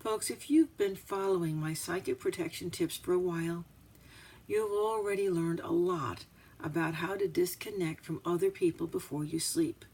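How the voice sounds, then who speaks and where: With a normal speaking voice, a woman talks at a moderate pace in a fairly low pitch, her pitch variation ordinary. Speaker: psychic and astrologer. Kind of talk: instructional talk to camera.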